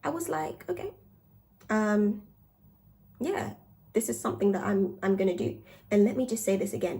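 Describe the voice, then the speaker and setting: A woman speaks at a medium pitch with very wide pitch swings and vocal fry. Her tone is dark and mellow, and she leaves long, frequent pauses. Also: moderate pace. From Uganda. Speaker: podcaster and social media creator. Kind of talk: casual monologue. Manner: calm, not loud; animated.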